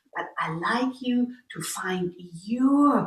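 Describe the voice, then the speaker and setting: This woman has a German accent and a fairly high, somewhat breathy voice. Her intonation is lively. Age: 60s. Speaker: qigong teacher. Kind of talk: tutorial.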